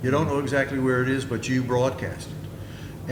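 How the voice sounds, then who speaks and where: A man talks at a moderate pace. Room echo is audible and background noise is noticeable. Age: 70s. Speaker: songwriter and folk musician. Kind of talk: panel talk at a festival session. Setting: festival info session with audience.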